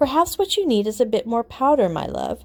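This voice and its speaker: Using a put-on character voice, a woman speaks at a high pitch with very wide pitch swings. Her pace is fairly quick. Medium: read story. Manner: polite.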